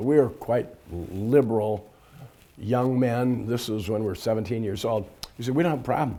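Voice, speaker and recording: A man speaks with an American accent. His dark, mellow tone has ordinary pitch variation. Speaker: fraternity alumnus, interviewee. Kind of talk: interview. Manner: halting, many fillers.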